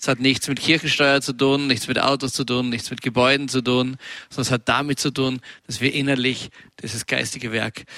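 A man speaks at medium pitch in a bright, sharp tone. The sound is dry and close, with no echo. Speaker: preacher. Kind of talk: sermon.

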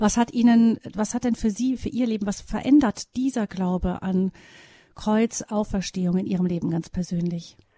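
A somewhat breathy woman's voice of medium pitch with a dark, mellow tone and ordinary pitch variation, at a moderate pace, dry and close with no echo. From West Germany. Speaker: radio host. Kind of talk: radio interview. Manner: formal.

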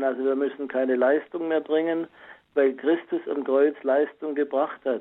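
A fairly high male voice, fairly slow and monotone, with flat intonation. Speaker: caller. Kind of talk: testimony on faith. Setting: phone call.

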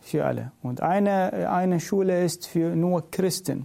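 With a Middle Eastern accent, a man speaks very slowly in a high-pitched voice with a dark, mellow tone and ordinary pitch variation. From Iraq. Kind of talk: interview. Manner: halting non-native German.

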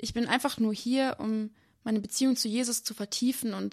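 Against a quiet background, a woman talks at a fairly quick pace. Her fairly high voice is somewhat breathy, with monotone, flat intonation. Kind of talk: testimony interview. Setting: remote live connection.

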